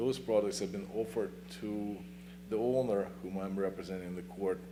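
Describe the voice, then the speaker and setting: With a non-native accent and vocal fry, this dark, mellow voice moves at a fairly quick pace with lively intonation amid audible room echo. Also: man. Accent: foreign. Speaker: attorney. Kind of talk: public comment at town meeting. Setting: town planning commission meeting. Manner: fast; halting.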